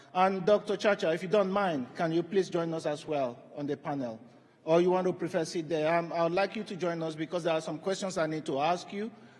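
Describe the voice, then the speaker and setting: A man talks at a fairly quick pace. His pitch is high, with ordinary variation. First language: Yoruba. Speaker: panel moderator. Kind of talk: conference moderation. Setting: stage with audience. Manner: animated.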